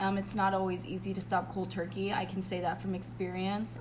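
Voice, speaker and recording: A woman talks at a moderate pace. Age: 20s. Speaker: podcast guest. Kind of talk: casual chat.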